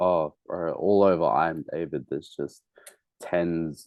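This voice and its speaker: In an Australian accent, a man talks at a very slow pace. His very deep, low voice stays in a flat monotone. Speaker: musician. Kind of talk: casual interview. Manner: casual, slangy with hesitations.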